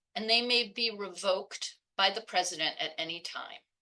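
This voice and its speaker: A woman with an American accent talks at a moderate pace and a medium pitch in an ordinary speaking voice. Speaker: law professor and program director. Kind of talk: webinar panel talk.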